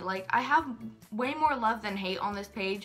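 Faint music plays in the background. A woman talks at a moderate pace. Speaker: youtuber. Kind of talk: casual vlog chat. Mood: earnest, explaining a hard time. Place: home room. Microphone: phone near.

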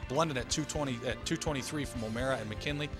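Clear music plays in the background. A man talks at a fast pace with ordinary pitch variation. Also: medium pitch for a man.

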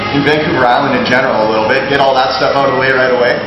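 Clear music plays in the background as a man speaks with ordinary pitch variation. Audible room echo surrounds his voice. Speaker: brewery tour guide. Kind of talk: tour guide talk to a group. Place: factory. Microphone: camera far.

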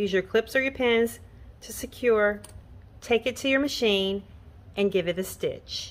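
Long, frequent pauses break up this woman's fairly slow speech. Her pitch is fairly high, with ordinary variation. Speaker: sewing pattern designer. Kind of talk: tutorial. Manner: casual.

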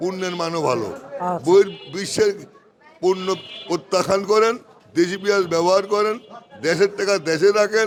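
Noticeable background noise sits behind a man speaking with a high pitch and ordinary pitch variation. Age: 60s. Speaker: onion wholesale trader. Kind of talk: interview at a market. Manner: animated.

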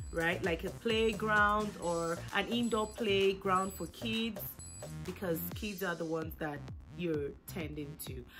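Music plays behind a woman who talks very slowly. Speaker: small business owner. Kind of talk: tutorial explanation.

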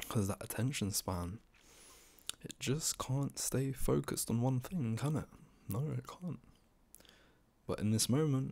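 Soft-spoken and dark, mellow in tone, a man talks at a moderate pace with very wide pitch swings. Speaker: ASMR creator. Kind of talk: ASMR roleplay. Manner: commanding, bossy but encouraging. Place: home room. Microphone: studio mic.

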